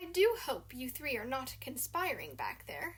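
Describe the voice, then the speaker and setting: A woman performs a put-on character voice in a strong British accent. She speaks at a moderate pace. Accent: thick British. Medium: read story. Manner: formal, polite, dryly cheeky.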